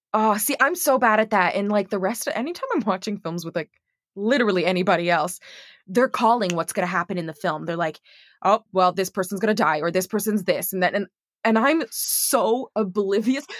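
In a normal speaking voice, a woman talks fairly quickly at medium pitch with ordinary pitch variation. The sound is dry and close, with no echo, on a very clean recording with a silent background. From Montreal, Canada. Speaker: actor and voice actor. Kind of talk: casual chat. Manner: friendly, laughs often.

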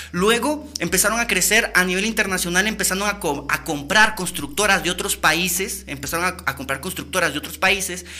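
A man's high-pitched, animated voice over noticeable background noise. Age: 30s. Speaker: podcast host. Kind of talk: casual livestream talk.

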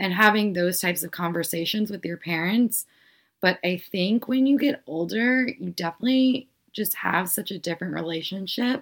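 A woman with a plain, everyday voice speaks at medium pitch and a moderate pace, with lively intonation. The recording is very clean with a silent background. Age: 20s. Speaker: podcast host. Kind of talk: casual chat.

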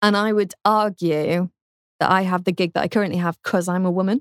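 Speech in a British accent moves at a moderate pace. The recording is very clean with a silent background and a dry, close sound with no echo. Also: woman. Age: 20s. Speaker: radio presenter. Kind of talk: interview.

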